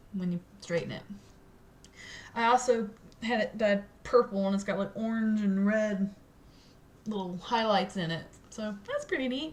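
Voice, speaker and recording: A woman speaks with a somewhat breathy, fairly high voice. Her pace is moderate and her pitch varies in an ordinary way. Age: 20s. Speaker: cosplayer and vlogger. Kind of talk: casual vlog update. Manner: halting, with stuttering and filler words.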